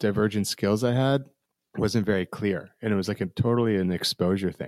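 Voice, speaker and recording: A man's unremarkable speaking voice with an American accent, fairly low in pitch, at a moderate pace with ordinary pitch variation, in a dry, close sound with no echo. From New Jersey. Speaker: experience design firm co-founder. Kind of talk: interview.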